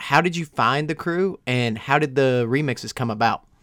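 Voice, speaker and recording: Recorded very cleanly against a silent background, a man talks in an unremarkable speaking voice with ordinary pitch variation. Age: 20s. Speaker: podcast host. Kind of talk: casual chat.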